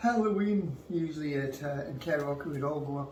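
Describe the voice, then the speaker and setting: Over noticeable background noise and audible room echo, a man with fairly high pitch talks at a moderate pace. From Canada, moved from Glasgow at nine. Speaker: interviewee, father of host. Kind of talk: casual chat. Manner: deadpan.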